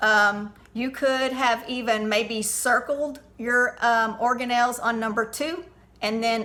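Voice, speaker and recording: Fairly high in pitch, a woman talks in a plain, everyday voice with fairly even intonation. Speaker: teacher. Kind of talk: tutorial.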